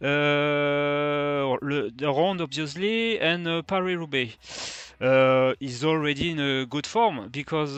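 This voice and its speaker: A man with a fairly high pitch speaks at a very slow pace. His pitch varies in an ordinary way. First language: French. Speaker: fantasy cycling youtuber. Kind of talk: video review. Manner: halting, many fillers.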